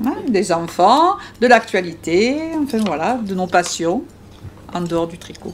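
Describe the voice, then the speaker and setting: Fairly slow delivery with long, frequent pauses, lively intonation, big swings in loudness and noticeable background noise. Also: woman, medium pitch for a woman. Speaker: knitter. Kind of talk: interview.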